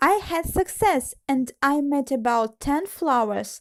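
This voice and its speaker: At a very slow pace, a woman with a Russian accent talks with lively intonation. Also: very clean recording, silent background. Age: 20s. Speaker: origami tutorial creator. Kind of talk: personal story monologue.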